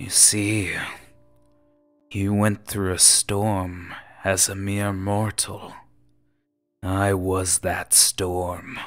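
A man's put-on character voice, raspy and fairly low, in a monotone, flat intonation at a very slow pace with long, frequent pauses, faint music in the background. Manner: menacing, imperious, condescending.

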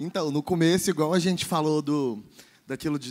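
A man with an unremarkable speaking voice and a fairly high pitch talks at a fairly quick pace, keeping a fairly even intonation. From Minas Gerais, raised partly in Goiânia. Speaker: festival producer; panelist. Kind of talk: panel discussion. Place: hall. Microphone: handheld.

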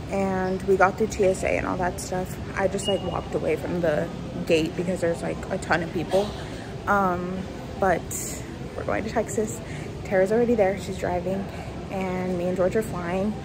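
Amid noticeable background noise, a woman talks at a moderate pace with long, frequent pauses. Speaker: travel vlogger. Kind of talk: casual vlog chat. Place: station. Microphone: phone near.

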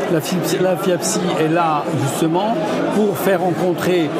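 A man speaks with crowd noise in the background. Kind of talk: interview answer. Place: hall. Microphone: lapel.

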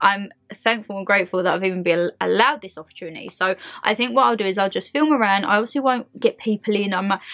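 A woman speaks fast at medium pitch, with ordinary pitch variation and a fairly bright tone. The sound is dry and close, with no echo.

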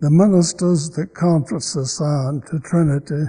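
Against a quiet background, a man with an American accent speaks in a dark, mellow, somewhat breathy voice of fairly high pitch and ordinary pitch variation. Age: 80s+. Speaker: church member. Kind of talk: letter read aloud to congregation. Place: church. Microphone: podium.

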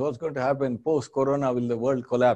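A man's dark, mellow voice against a quiet background. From India, Andhra Pradesh. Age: 60s. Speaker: business school professor. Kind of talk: lecture. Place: studio. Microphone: lapel.

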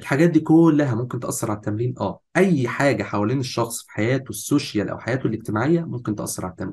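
A man with an Egyptian accent, very fast and with hardly any pauses, somewhat breathy, ordinary pitch variation and big swings in loudness. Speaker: fitness course instructor. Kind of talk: lecture. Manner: animated.

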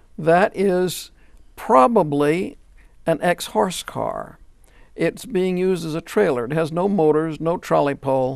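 In a very clean recording with a silent background, a man with an American accent and an unremarkable speaking voice talks at a fairly slow pace with ordinary pitch variation. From US South, Louisiana (Shreveport). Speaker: retired professor and streetcar historian. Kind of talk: interview. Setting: studio.

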